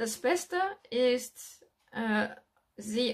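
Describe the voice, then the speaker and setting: With a French accent, a woman speaks at a fairly high pitch using lively intonation. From France. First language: French (speaking German). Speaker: real estate investor and business coach. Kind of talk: video monologue with advice. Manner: halting, with fillers.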